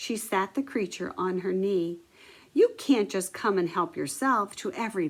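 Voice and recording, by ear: Someone is reading aloud in a natural voice.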